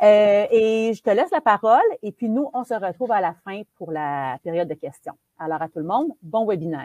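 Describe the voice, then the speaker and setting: A woman with a dark, mellow tone swings very widely in pitch and shows big swings in loudness. The sound is dry and close, with no echo. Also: medium pitch for a woman, moderate pace. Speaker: webinar host. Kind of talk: event introduction. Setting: webinar.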